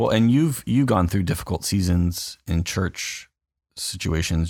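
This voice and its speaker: A man with a Californian accent speaks in a very deep, low pitch. The recording is very clean, with a silent background. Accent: California. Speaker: pastor. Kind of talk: casual chat.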